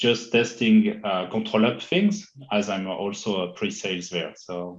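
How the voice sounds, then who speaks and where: With a French accent, the voice shows ordinary variation in pitch. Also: man. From France. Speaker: IT consultant. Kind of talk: interview. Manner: halting, many fillers.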